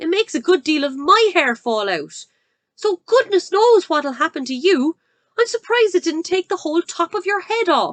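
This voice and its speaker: A woman puts on a shrill character voice at an extremely high pitch, with very wide pitch swings. She keeps a moderate pace, and the sound is dry and close with no echo. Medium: read story. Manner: shrill, scornful.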